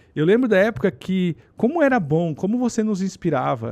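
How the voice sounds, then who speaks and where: A man's high-pitched voice with very wide pitch swings, against a quiet background. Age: 40s. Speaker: podcast host. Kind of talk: casual chat.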